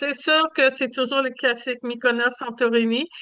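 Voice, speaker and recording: A woman's high-pitched voice with a Quebec accent and a bright, sharp tone. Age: 70s. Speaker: travel agent. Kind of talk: presentation. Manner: hesitant with many fillers.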